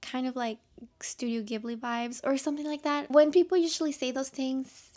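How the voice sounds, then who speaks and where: A woman talks with a non-native accent. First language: not English. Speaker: book content creator. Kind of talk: casual talk to camera.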